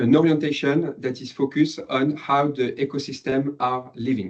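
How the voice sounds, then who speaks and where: In a French accent, a man speaks at a fairly slow pace and a fairly high pitch. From France. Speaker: PhD researcher, former marketing manager. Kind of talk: academic presentation. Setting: lecture room with online audience. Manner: halting, many fillers.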